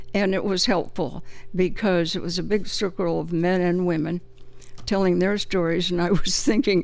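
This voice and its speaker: A woman's fairly low voice at a moderate pace, with fairly even intonation and audible room echo. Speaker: author. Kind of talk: interview. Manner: halting.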